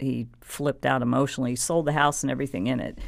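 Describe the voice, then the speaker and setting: On a very clean recording with nothing audible behind her, a woman speaks. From Texas (San Antonio). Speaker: negotiation trainer and Air Force veteran. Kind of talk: interview. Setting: studio.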